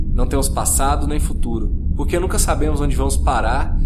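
Delivered in a solemn, deadpan tone at a fairly quick pace, the speech comes with noticeable background noise. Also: man. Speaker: narrator reading a short story. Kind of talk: scripted first-person sci-fi narration, dramatic and reflective. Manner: solemn, introspective, deadpan.

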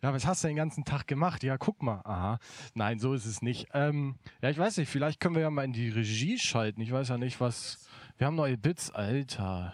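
In a plain, everyday voice at a medium pitch, a man speaks at a moderate pace with lively intonation, in a very clean recording with a silent background. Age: 20s. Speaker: event technician. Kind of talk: casual livestream chat. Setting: studio.

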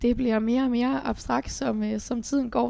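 The background is silent and the recording very clean. A woman speaks fairly slowly. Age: 18. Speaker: business high school graduate. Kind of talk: casual interview. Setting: meeting room.

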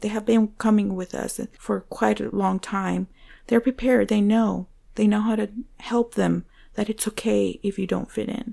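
In a Spanish accent, a woman speaks with long, frequent pauses on a very clean recording with a silent background. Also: moderate pace. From Venezuela. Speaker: church ministry assistant. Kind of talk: interview.

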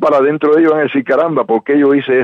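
This is a man speaking. His pitch is fairly high. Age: 60s. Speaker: Cuban exile activist. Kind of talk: radio interview. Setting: phone call. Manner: halting, many fillers.

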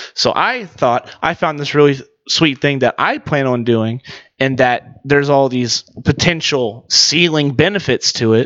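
Fairly high-pitched for a man, he talks at a fairly slow pace in an ordinary speaking voice with ordinary pitch variation. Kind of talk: casual banter, sports betting podcast.

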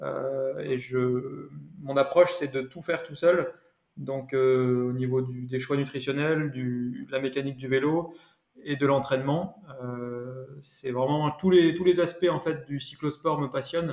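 A man with a fairly high pitch talks at a very slow pace, keeping his intonation fairly even. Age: 20s. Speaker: amateur cyclist and engineer. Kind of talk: interview.

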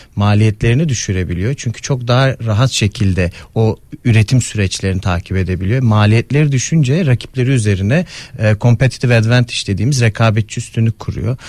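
Somewhat breathy and medium in pitch, a man speaks with ordinary pitch variation in a dry, close sound with no echo. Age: 30s. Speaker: economist. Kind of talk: interview.

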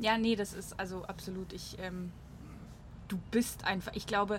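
Speaking at a moderate pace, a woman with a medium pitch uses monotone, flat intonation and sounds somewhat breathy. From Switzerland. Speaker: podcast host. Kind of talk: casual chat. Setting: on a balcony in Munich.

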